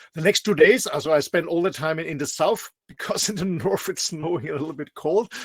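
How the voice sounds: A man's fairly high-pitched voice with a slightly husky edge, ordinary pitch variation, and a fairly quick pace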